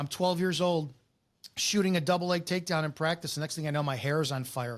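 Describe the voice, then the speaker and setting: On a very clean recording with a silent background, a man with a fairly high pitch speaks very fast with ordinary pitch variation. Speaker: former police officer. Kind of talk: casual podcast conversation. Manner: loud; animated.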